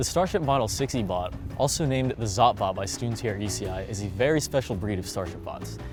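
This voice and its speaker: With music in the background, a man talks very fast with hardly any pauses, at a fairly low pitch and with lively intonation. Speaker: delivery robot cleaner. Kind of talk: interview answer.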